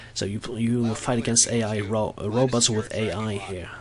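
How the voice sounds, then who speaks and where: A man speaks with a non-native accent at a medium pitch. He keeps a moderate pace. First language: Norwegian. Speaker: gaming video creator. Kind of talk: game commentary voice-over. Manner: halting, many fillers and restarts.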